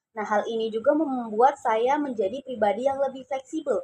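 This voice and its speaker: Dry and close with no echo, a woman's high, dark, mellow voice moves at a fairly quick pace with fairly even intonation. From Indonesia, Cirebon (West Java). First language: Javanese (speaking Indonesian). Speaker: university student. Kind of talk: class assignment personal narration.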